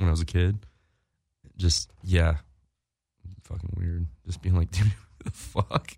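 A man's very deep, low, somewhat breathy voice with a dark, mellow tone, fairly slow pace, ordinary pitch variation and long, frequent pauses, in a dry, close sound with no echo. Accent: American. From North Carolina and Virginia. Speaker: professional skateboarder. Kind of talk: casual interview chat. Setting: studio.

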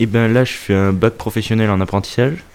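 A man's voice at a moderate pace. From France, Auvergne. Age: young. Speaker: farming apprentice. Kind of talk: interview. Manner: halting.

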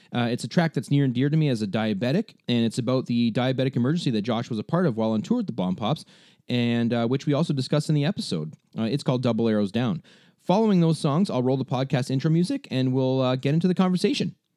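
A man with a Canadian accent speaks very fast at a medium pitch, his loudness very even and his intonation lively. His tone is dark and mellow, and the recording is very clean with a silent background. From Ontario, Canada. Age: 30s. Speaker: podcast host and musician. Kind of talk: scripted narration; casual chat.

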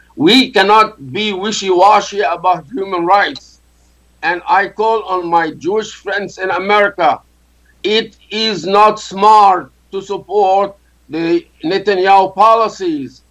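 The speaker talks at a very slow pace, with ordinary pitch variation. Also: man, high pitch for a man. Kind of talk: radio panel debate.

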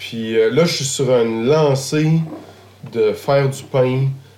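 Audible room echo and noticeable background noise accompany a man with a Quebec accent and a medium pitch. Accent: Québécois French. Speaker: chef. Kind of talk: casual conversation. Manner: halting.

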